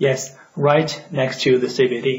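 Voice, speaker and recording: A man's monotone, flat delivery with a non-native accent at a fairly slow pace. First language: non-native English speaker. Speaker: urban planning educator. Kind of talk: educational lecture.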